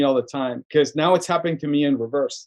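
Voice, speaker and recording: In a Spanish accent, a man talks at a very fast pace with a fairly high pitch and ordinary pitch variation. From Sonora, Mexico and Tucson, Arizona. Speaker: filmmaker and arts nonprofit director. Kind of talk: casual podcast interview. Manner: animated, repetitive restarts.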